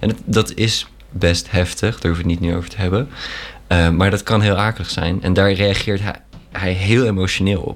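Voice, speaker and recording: At a moderate pace, a man with a very deep, low pitch speaks against noticeable background noise. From Netherlands. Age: 20s. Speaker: university student. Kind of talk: casual chat.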